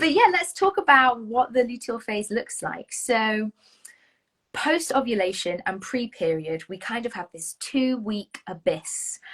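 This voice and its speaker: At a fairly slow pace, a woman with a British accent and a high pitch shows very wide pitch swings and big swings in loudness. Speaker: Enneagram coach. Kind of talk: casual chat.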